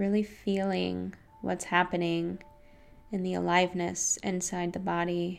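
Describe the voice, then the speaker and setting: A woman's warm, calm, fairly low voice, flat and monotone at a fairly slow pace, over noticeable background noise. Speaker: meditation guide and podcast host. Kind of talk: guided meditation. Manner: slow, calm, soothing and gentle, with long pauses; soft-spoken, warm and inviting.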